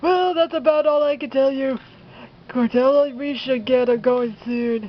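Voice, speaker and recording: The speaker uses a put-on character voice with a high pitch. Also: moderate pace. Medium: solo performance. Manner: gruff, casual.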